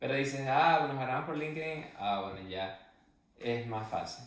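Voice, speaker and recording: There is noticeable background noise and audible room echo as a man talks at a medium pitch. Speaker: podcast co-host. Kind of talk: casual chat.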